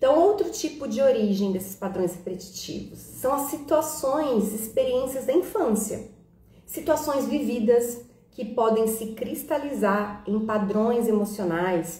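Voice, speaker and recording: A woman's fairly high, lively voice at a fairly slow pace, with audible room echo and noticeable background noise. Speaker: holistic therapist and live-stream host. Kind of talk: live-stream talk. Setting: live stream on Instagram and YouTube.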